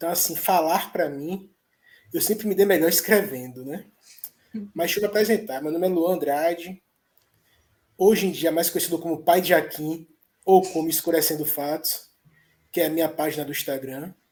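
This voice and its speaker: A man's high-pitched voice at a moderate pace, with long, frequent pauses. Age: 30s. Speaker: content creator and father. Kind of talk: podcast interview. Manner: halting, repeats words.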